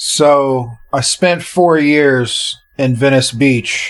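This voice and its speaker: A man's plain, everyday voice with fairly even intonation. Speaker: podcast host. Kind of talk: casual monologue introducing a podcast episode.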